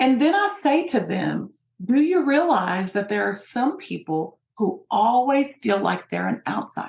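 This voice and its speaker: Vocal fry marks this woman's voice, with an American accent. She speaks at a fairly slow pace with very wide pitch swings. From US, Appalachian Kentucky (Hazard). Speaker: sociologist and diversity trainer. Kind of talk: interview.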